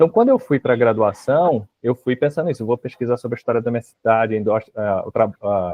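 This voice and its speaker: A man with a Rio de Janeiro accent speaks fairly quickly at a medium pitch, with ordinary pitch variation. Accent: carioca, hissing S. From Rio de Janeiro, Baixada Fluminense. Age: 40s. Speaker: history professor. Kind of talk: interview.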